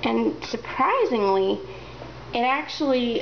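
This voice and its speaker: Against noticeable background noise, the words come out at a very slow pace. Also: woman. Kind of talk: casual talk to camera.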